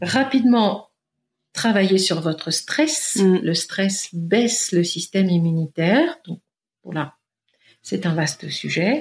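In a very clean recording with a silent background, a woman with a medium-pitched, somewhat breathy voice talks very slowly with very wide pitch swings. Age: 50s. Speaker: naturopath. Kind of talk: interview.

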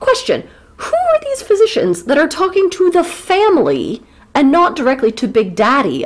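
An American-accented woman speaks at an extremely high pitch, with very wide pitch swings. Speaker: podcast host. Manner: joking, animated.

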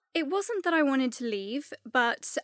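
The sound is dry and close, without any echo. A woman talks at a moderate pace. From England, Gloucestershire. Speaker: fashion influencer. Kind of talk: interview.

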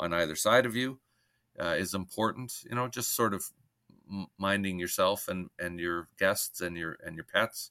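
A man with a Canadian accent speaks at a moderate pace in a very deep, low voice with a bright, sharp tone. His intonation stays fairly even, and the sound is dry and close with no echo. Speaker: cottage association executive director. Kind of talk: casual interview. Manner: halting, many fillers.

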